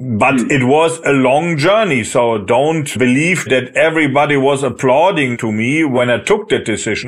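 A man with a German accent at medium pitch and a fairly slow pace. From Germany. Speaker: managing director of a software company. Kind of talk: interview.

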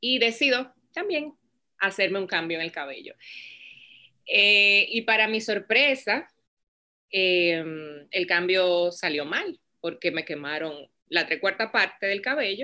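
Speaking very slowly with long, frequent pauses, a woman uses a medium pitch, lively intonation and a bright, sharp tone on a very clean recording with a silent background. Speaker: business founder. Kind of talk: interview.

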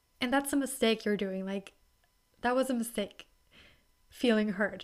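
With a German accent, a woman talks at a fairly high pitch on a very clean recording with a silent background. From Germany. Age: 20s. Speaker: podcast host. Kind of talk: solo casual talk. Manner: soft-spoken, reserved; halting, many fillers.

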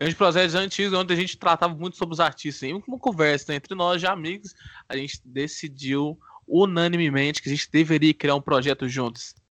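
The speaker has a Minas Gerais accent and a fairly quick pace. The sound is dry and close with no echo, and the background is quiet. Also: man, high pitch for a man, ordinary pitch variation. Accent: mineiro Brazilian Portuguese. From Divinópolis, Minas Gerais, Brazil. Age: 20s. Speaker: podcast co-host, law student. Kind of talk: casual chat.

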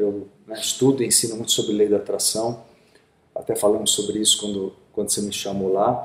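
A man talks at a fairly quick pace with a fairly low pitch in a monotone, flat intonation. Noticeable background noise sits behind him. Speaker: podcast host. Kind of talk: casual interview.

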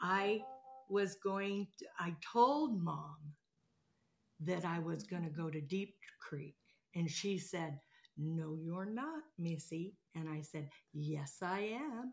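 Speaking very slowly with long, frequent pauses, a woman with an American accent has a somewhat breathy voice at a fairly low pitch. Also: lively intonation. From Southern California. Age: 60s. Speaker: dog groomer. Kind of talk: casual family conversation.

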